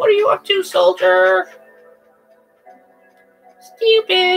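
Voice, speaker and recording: Over faint music in the background, someone delivers a put-on character voice at a fairly slow pace. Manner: gruff, mocking.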